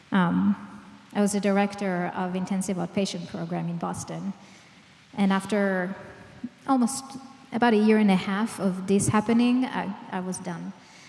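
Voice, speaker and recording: Against noticeable background noise, a woman at a medium pitch speaks at a moderate pace with fairly even intonation and long, frequent pauses. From Israel. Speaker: clinical psychologist, trauma expert. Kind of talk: public lecture.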